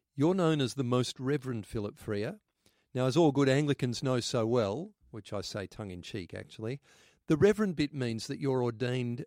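A man with an Australian accent, medium pitch, lively intonation and a moderate pace, on a very clean recording with a silent background and a dry, close sound with no echo. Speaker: podcast host, Anglican minister. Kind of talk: podcast discussion.

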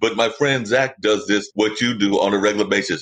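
A man with an unremarkable speaking voice talks at a fairly quick pace in an American accent, his pitch medium. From North Carolina. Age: 50s. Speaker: podcast producer and host. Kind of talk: interview.

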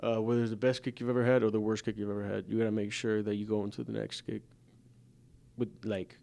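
A man speaks at a fairly quick pace in a monotone, flat intonation. His dark, mellow tone is broken by long, frequent pauses. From Latin America (Honduras, Mexico, Brazil), then Georgia, US. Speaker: college football kicker. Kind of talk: casual interview. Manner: relaxed, conversational.

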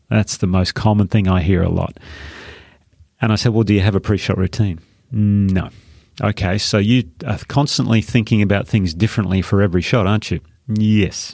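In a very clean recording with a silent background, a man with an Australian accent speaks at a moderate pace and very even loudness, his pitch fairly low and his intonation fairly even. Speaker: former pro golfer and golf coach. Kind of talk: casual interview.

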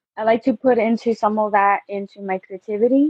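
This is a normal speaking voice. Its intonation stays fairly even. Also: woman. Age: 20s. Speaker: photographer and clothing designer. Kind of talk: interview.

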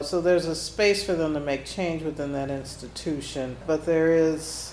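Someone with an American accent speaks at a moderate pace with fairly even intonation. Audible room echo and noticeable background noise are both present. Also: woman. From US Midwest, Kansas City. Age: 50s. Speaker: nonprofit founder and former nurse. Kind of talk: interview.

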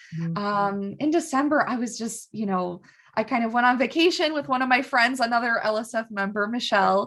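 A woman's fairly high, lively voice at a fairly quick pace, with music in the background. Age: 20s. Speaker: gym member. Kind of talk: casual chat.

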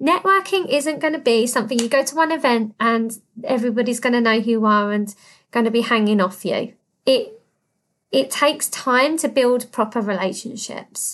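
Someone with a British accent speaks at a fairly slow pace with lively intonation against a quiet background. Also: woman. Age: 30s. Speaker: podcast host and business consultant. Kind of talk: solo podcast monologue. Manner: animated.

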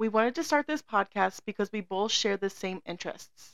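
Someone talks at a fairly quick pace with a Southwestern US accent. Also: woman, dry, close sound with no echo. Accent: General American (Southwest). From Arizona. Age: 20s. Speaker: podcast host. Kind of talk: scripted introduction.

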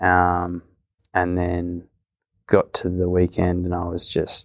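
In a very clean recording with a silent background and a dry, close sound with no echo, a man with an Australian accent speaks in a very deep, low pitch. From rural Victoria, Australia. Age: young. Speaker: podcast host. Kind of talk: casual interview; scripted intro.

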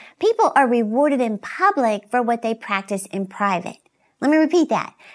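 A woman's cheerful, fairly high voice with lively intonation at a moderate pace, on a very clean recording with a silent background. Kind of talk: motivational faith talk. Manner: not shouting, gentle, soft delivery; cheerful, encouraging.

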